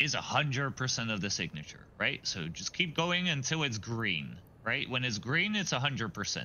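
Vocal fry runs through a man's voice as his pitch swings very widely. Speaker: gamer. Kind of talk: casual chat.

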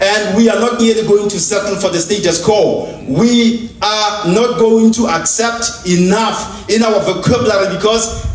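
With fairly even intonation and a high pitch for a man, this man talks at a fairly slow pace over light background noise, with audible room echo. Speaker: host introducing the preacher. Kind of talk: formal speech introduction. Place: church.

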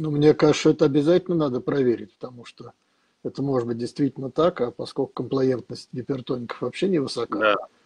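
Against a quiet background, a man speaks in a somewhat breathy voice with ordinary pitch variation and big swings in loudness. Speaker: professor moderating medical webinar. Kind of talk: moderating a webinar. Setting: video call. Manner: hesitant, frequent filler sounds. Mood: engaged, somewhat indignant. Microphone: video call.

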